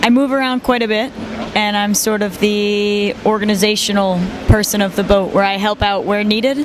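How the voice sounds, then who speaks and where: Against noticeable background noise, a woman with a Midwestern American accent talks at a fairly quick pace, her pitch medium and her intonation fairly even. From US Midwest, Detroit, Michigan. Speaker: sailor. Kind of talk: interview.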